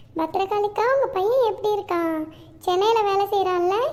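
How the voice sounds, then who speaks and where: In a cartoonish character voice, a woman speaks squeaky and at an extremely high pitch, with fairly even intonation at a moderate pace over light background noise. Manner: warm, homely.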